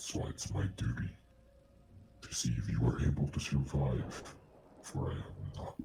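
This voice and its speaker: A man whispers in a put-on character voice at a moderate pace. He leaves long, frequent pauses. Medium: actual play. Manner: solemn, grandiose.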